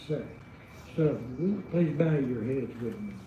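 In a room with audible echo, a man with an Arkansas accent speaks at a fairly high pitch with ordinary pitch variation. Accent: Arkansas (Southern) accent, noticeable. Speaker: invocation speaker, local clergy. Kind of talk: informal remarks before prayer. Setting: city council chambers.

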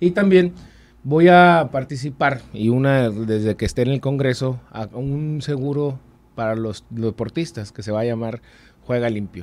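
A man's fairly slow speech with ordinary pitch variation. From Mexico, Sonora (Hermosillo); Sonora. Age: 30s. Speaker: political candidate; candidate. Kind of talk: interview. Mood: earnest, persuasive. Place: studio. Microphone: studio mic.

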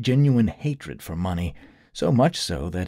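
A natural voice reads aloud. Its intonation is lively.

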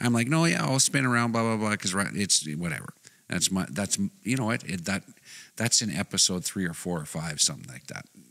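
Against a quiet background, a man with a Canadian accent and a fairly low, bright, sharp voice with vocal fry talks at a fairly quick pace, his pitch swinging very widely. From Canada. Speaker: podcast co-host. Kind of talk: casual chat. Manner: loud. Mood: amused, exasperated storytelling. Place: studio. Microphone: studio mic.

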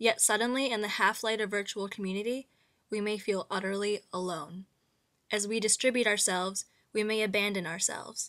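A woman with an ordinary speaking voice talks at a fairly quick pace, medium pitch and fairly even intonation. The recording is very clean, the background silent. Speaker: narrator reading aloud. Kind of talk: literary monologue reading, scripted essay narration. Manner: measured, formal, reflective.

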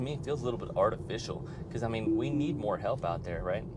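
There is noticeable background noise. A man speaks at a fairly quick pace. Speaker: car owner vlogger. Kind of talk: casual vlog chat. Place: car.

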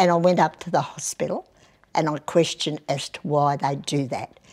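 Pitched very deep and low, a woman talks in an Australian accent. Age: 80s+. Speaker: mayor. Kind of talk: interview. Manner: outspoken. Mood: feisty, blunt, humorous. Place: meeting room. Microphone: lapel.

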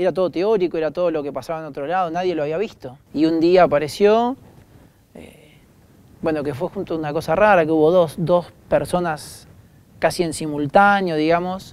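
A man talks at a moderate pace with a high pitch and ordinary pitch variation. His loudness swings widely. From Argentina. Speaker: doctor. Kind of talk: interview. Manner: casual. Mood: emotional, tearful at times. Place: stage. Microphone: lapel.

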